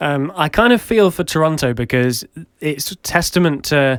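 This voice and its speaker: Here a man speaks with an East of England accent. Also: very clean recording, silent background. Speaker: football podcast co-host. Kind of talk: casual chat.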